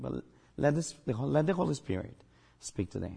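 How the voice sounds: A man's dark, mellow, medium-pitched voice with a slightly husky edge and vocal fry, at a moderate pace with big pitch swings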